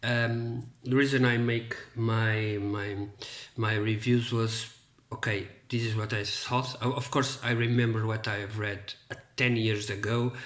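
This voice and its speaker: A man speaks in a monotone, flat intonation with a Portuguese accent, and room echo is audible. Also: medium pitch for a man, fairly slow pace. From Portugal. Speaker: book reviewer. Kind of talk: casual monologue to camera. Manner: halting, many fillers and repetitions.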